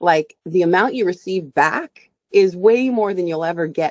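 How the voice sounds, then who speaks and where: Recorded dry and close with no echo, a woman with an ordinary speaking voice talks at a moderate pace, her fairly low pitch varying in an ordinary way. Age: 40s. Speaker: singer and stage performer. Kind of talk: interview.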